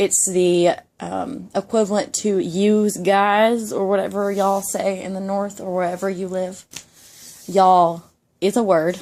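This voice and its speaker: A woman with a Georgia accent speaks at a fairly slow pace. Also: medium pitch for a woman, fairly even intonation. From Georgia (US South). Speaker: YouTuber. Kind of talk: ASMR casual monologue. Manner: soft-spoken.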